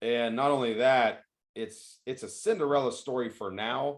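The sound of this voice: A man speaks at a moderate pace and medium pitch. His intonation is fairly even.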